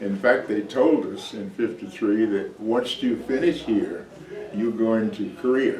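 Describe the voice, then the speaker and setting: A man with an American accent speaks at a medium pitch through audible room echo and noticeable background noise. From Texas. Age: 80s+. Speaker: army veteran and church deacon. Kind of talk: interview. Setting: church. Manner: halting.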